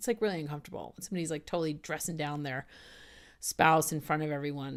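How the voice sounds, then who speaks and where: Here a woman talks in an American accent. The recording is very clean with a silent background. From US South. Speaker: spiritual coach and video host. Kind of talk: talk to camera. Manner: fast; animated.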